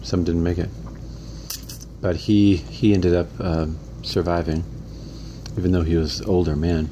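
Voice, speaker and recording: Over noticeable background noise, a man with a very deep, low voice talks at a moderate pace with ordinary pitch variation and long, frequent pauses. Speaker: interviewer, son of the interviewed man. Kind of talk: casual interview questions. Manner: conversational, repeating answers back.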